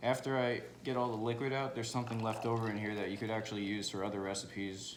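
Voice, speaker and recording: Very fast, flat, monotone speech with audible room echo. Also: man. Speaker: home cooking video creator. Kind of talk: tutorial. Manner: casual, informal.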